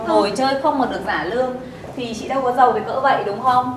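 A woman speaks at a high pitch and a moderate pace. There is audible room echo and light background noise. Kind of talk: scripted comedy scolding. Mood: annoyed, bossy. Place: cafe.

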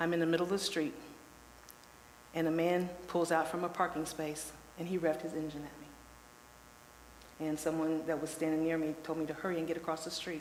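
With noticeable background noise and audible room echo, a woman with an American accent speaks in a very deep, low pitch with monotone, flat intonation. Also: moderate pace. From Lebanon, Ohio, US Midwest. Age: 60s. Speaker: public commenter at city council. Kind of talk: public comment testimony.

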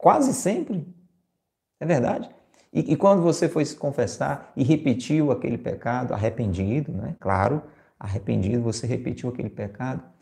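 The voice has a dark, mellow tone with vocal fry and lively intonation. It moves at a moderate pace over a quiet background. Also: man, medium pitch for a man. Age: 50s. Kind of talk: homily / spiritual reflection broadcast live. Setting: live stream and radio broadcast. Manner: conversational, addresses listeners directly. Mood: warm, persuasive, smiling. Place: home room. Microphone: lapel.

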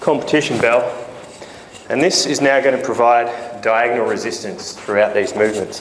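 Fairly quick speech from a man, light background noise and audible room echo around it. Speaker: fitness trainer. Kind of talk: tutorial. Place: gym.

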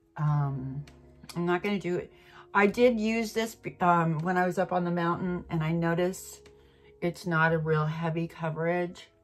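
A woman with a fairly low pitch speaks over faint music in the background. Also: fairly even intonation, moderate pace. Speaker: beauty vlogger. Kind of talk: casual makeup tutorial chat. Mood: relaxed, self-deprecating, laughs. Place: home room. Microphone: phone near.

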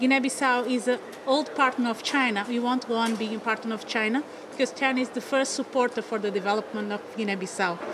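Over noticeable background noise, a woman speaks at a very fast pace in a high voice with fairly even intonation. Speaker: government minister. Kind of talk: interview answer. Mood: formal, diplomatic. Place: hall. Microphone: handheld.

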